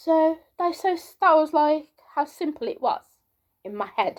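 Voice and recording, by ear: Soft-spoken woman, slow pace and slightly mellow tone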